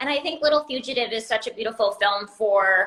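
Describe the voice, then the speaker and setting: A woman with a Rhode Island accent, fairly high in pitch, animated, with a bright, sharp tone. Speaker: livestream interviewer. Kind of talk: casual interview chat.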